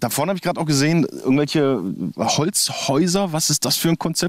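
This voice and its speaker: The man speaks at a very fast pace with very even loudness. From Thuringia, Germany. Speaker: podcast host. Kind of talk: casual interview. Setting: outdoors by a lake.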